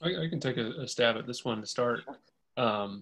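With an American accent, a man talks at a fairly quick pace using ordinary pitch variation. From Indiana. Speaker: science policy advocate, former congressional staffer; presenter. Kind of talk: webinar presentation; webinar presentation and Q&A answers. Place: home room. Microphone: webcam.

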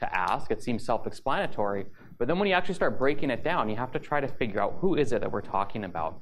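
The man talks at a very fast pace. Light background noise is present. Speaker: presenter. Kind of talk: conference lecture. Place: hall.

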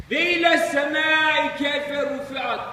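In an Aegean accent, a man uses a raised, projected voice at an extremely high pitch. His intonation is fairly even, and there is noticeable background noise. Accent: Aegean Turkish dialect. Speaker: retired imam. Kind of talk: informal religious talk after prayer.

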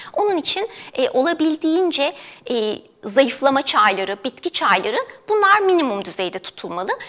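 A woman with a high voice lets her pitch swing very widely. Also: moderate pace. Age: 30s. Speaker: dietitian. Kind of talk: TV health interview. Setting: studio. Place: studio. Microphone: lapel.

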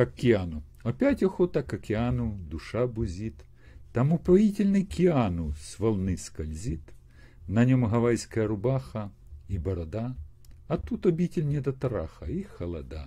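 The voice is somewhat breathy with a dark, mellow tone, moving at a fairly slow pace with long, frequent pauses. Its loudness swings a lot and its pitch swings very widely. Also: man. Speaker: video chat blogger. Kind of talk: casual chat with poetry reading. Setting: video call via chat roulette. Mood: wry, humorous. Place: home room. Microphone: earbuds.

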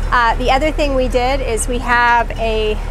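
There is music in the background as a woman speaks. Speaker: sailing vlogger. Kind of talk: casual vlog chat. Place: boat. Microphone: phone near.

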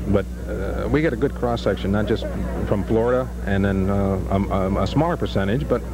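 Music plays in the background as a man talks at a fairly quick pace. The sound is dry, with no echo. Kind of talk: interview answer.

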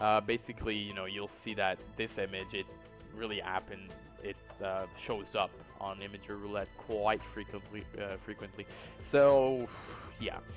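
A man talks at a moderate pace. Music can be heard behind his voice. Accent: non-native. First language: not English. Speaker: YouTube host. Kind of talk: internet mystery narration. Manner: hesitant, many fillers.

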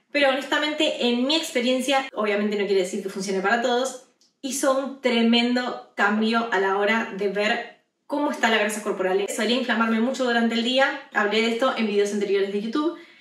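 A woman at a fairly quick pace, ordinary pitch variation and audible room echo. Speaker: fitness vlogger. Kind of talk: casual vlog chat. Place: home room.

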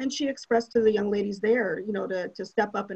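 A woman with an American accent talks at a fairly quick pace, her medium-pitched, somewhat breathy voice showing ordinary pitch variation. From Minnesota, St. Paul and Shoreview. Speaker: city council candidate. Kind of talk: candidate forum answers.

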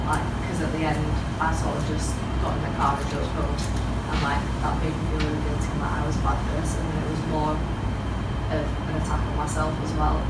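Speech at a moderate pace over loud background noise. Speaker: young person sharing therapy experience. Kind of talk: interview testimony on stage. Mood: earnest, personal, reflective. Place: meeting room. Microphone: camera far.

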